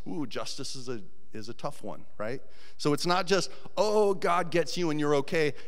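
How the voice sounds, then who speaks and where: A man with an American accent and lively intonation, over a quiet background. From Colorado. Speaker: volunteer preacher. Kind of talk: sermon. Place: church. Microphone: handheld.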